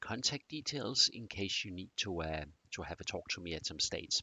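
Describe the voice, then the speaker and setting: Here a man talks with a slight Danish accent. His pitch is very deep and low, and his pace is fairly slow. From Denmark. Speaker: presenter on continuous improvement. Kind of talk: presentation. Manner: hesitant, many fillers.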